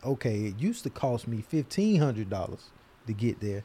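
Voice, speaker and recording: Somewhat breathy, with a dark, mellow tone, a man with an American accent speaks at medium pitch and a moderate pace, with ordinary pitch variation. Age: 30s. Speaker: podcast co-host. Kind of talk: casual chat.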